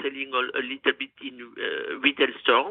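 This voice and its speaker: In a French accent, a woman speaks at a fairly slow pace. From France, Gascony. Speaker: chef and food business owner. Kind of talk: interview. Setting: phone call.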